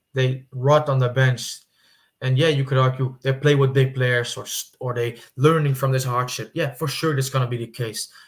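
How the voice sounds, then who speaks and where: A man with a non-native accent speaks at a medium pitch in a monotone, flat, somewhat breathy way. The recording is very clean, with a silent background. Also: moderate pace. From Netherlands. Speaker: football YouTuber. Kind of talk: casual commentary monologue. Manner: halting, with fillers and repetitions.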